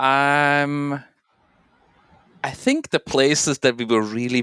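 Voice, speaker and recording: A man with a Swiss accent at a medium pitch, dry and close with no echo, on a very clean recording against a silent background. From Switzerland. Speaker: bitcoin tech expert. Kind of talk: podcast interview. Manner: hesitant, many filler ums.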